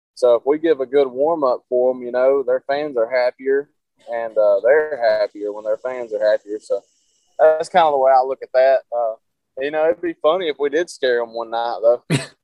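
Speaking with a Southern accent, a man keeps a moderate pace and fairly even intonation. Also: medium pitch for a man. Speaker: rock guitarist. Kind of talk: casual chat.

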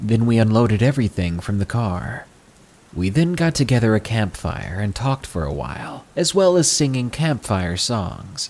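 Noticeable background noise sits behind a man speaking at a moderate pace. His fairly low pitch swings very widely. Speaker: horror story narrator and channel host. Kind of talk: scripted first-person narration of true scary stories. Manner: measured, atmospheric storytelling over thunderstorm sounds.

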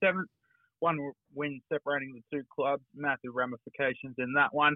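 Fairly quick delivery in an Australian accent, with fairly even intonation. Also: man. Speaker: local footy journalist. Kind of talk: sports report.

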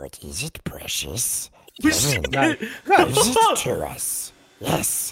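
A put-on character voice at a very slow pace. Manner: hissing.

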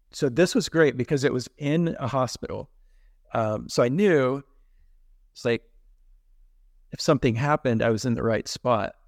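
With an American accent, a man talks at a moderate pace in a medium pitch, with ordinary pitch variation, big swings in loudness and long, frequent pauses, on a very clean recording with a silent background and a dry, close sound with no echo. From Texas. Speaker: heart attack survivor. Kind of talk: personal story in a casual interview.

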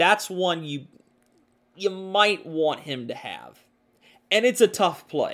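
A man talks at a very slow pace with long, frequent pauses and a high pitch. His intonation is lively, and his loudness swings widely. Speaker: podcast host and hockey commentator. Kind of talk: sports podcast recap, play-by-play style narration of a hockey game. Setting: studio podcast. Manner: conversational, opinionated.

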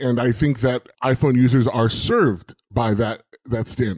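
Using a plain, everyday voice, a man talks at medium pitch and a moderate pace, his intonation fairly even. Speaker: podcaster and IT administrator. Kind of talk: casual chat.

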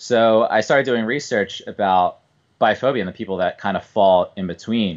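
Over a quiet background, a man with a Philadelphia accent speaks at a very fast pace with a fairly low pitch. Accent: Philadelphia-area American. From US Northeast, suburban Philadelphia. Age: 20s. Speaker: bowler. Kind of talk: casual chat.

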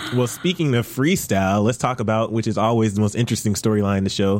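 Over noticeable background noise, a man talks at medium pitch with lively intonation. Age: 20s. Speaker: TV after-show host. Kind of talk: casual chat. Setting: studio.

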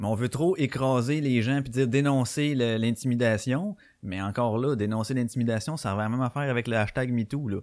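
Using ordinary pitch variation, a man with a Quebec accent speaks at a medium pitch and a moderate pace. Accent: Québécois French. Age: 30s. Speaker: podcast host. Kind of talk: live podcast chat. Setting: live stream.

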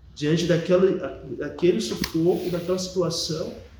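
Noticeable background noise is present along with audible room echo. The delivery keeps a moderate pace. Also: man. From Bahia, Brazil (moved from São Paulo as a small child). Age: 40s. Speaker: Jesuit priest. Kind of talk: interview testimony.

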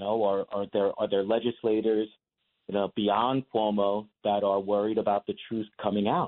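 A man speaks in an ordinary speaking voice. His pitch is fairly low and his pace moderate. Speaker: lawyer. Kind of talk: radio interview.

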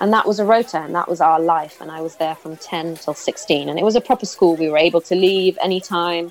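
A woman talks very fast at a fairly low pitch, with ordinary pitch variation. Her loudness swings widely over noticeable background noise. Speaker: film director and former actress. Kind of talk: interview testimony. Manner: halting.

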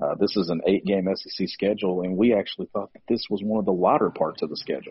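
A quiet man at a fairly low pitch, fairly even intonation and a very fast pace. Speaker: sports podcast host. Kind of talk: casual sports analysis chat. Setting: press box. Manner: hushed.

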